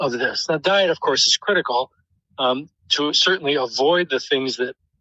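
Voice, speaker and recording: With an American accent, a man talks at a moderate pace in a fairly high pitch, using ordinary pitch variation. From US Midwest, Detroit. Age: 60s. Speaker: professor. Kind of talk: interview. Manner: hesitant, many fillers.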